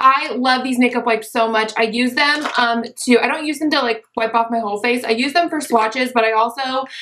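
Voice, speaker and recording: A woman talks at a fairly quick pace with hardly any pauses, high in pitch. Noticeable background noise sits behind her. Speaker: beauty YouTuber. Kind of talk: casual talk to camera.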